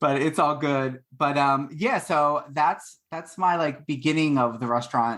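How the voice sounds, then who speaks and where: A man with a Philadelphia accent speaks at a fairly slow pace, with hardly any pauses and a fairly high pitch. His intonation is fairly even, and the recording is very clean with a silent background. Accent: Philadelphia American English. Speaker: baker and former restaurant worker. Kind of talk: podcast interview. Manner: casual, with many fillers.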